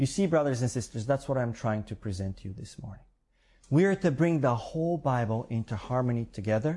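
Talking at a fairly quick pace, a man with a medium-pitched, dark, mellow, somewhat breathy voice uses lively intonation and big swings in loudness. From Bulgaria. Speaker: preacher. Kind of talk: sermon.

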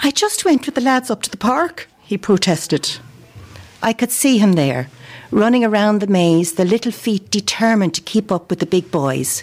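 A woman with a Dublin accent speaks at a moderate pace in a medium pitch, her pitch swinging very widely while her loudness stays very even. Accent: Dublin Irish. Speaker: amateur writer. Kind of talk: reading aloud.

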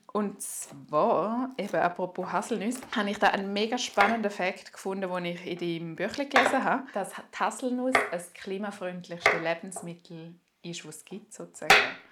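A woman's loudness swings widely as she speaks with ordinary pitch variation over noticeable background noise. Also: medium pitch for a woman, moderate pace. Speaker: podcast host. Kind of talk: scripted narration; casual chat. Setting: home kitchen. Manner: animated.

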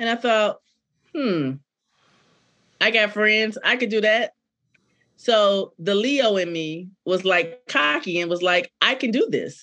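Speaking at a very slow pace with long, frequent pauses, a woman uses a fairly high pitch, a bright, sharp tone and lively intonation. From Decatur, Georgia. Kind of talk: interview.

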